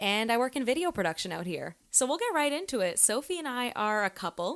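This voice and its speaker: A woman with a normal speaking voice and a Canadian accent, lively intonation at a fairly quick pace, in a very clean recording with a silent background. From Canada (Toronto). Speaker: podcast host. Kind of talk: casual chat.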